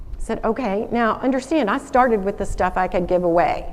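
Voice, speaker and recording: With a Southern US accent, a woman talks at a moderate pace in an animated tone, her pitch fairly high. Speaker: alumna speaker, former lawyer. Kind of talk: school assembly talk. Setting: stage with audience. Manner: animated storytelling.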